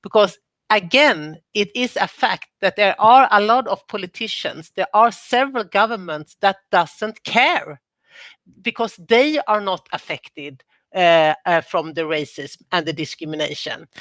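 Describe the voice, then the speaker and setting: A woman speaks at a fairly slow pace in a Swedish accent, her pitch medium and her intonation lively. The recording is very clean with a silent background, and the sound is dry and close with no echo. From Sweden. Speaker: former government minister, panelist. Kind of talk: panel discussion.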